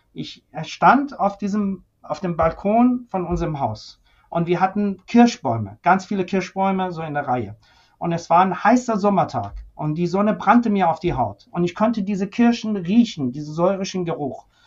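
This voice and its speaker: At a moderate pace, a man with a Persian accent speaks at a high pitch with lively intonation. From Iran (Tehran), moved to Germany at 13. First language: Persian (speaking German). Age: 50s. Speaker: senior physician, ventilation medicine expert. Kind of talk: interview conversation.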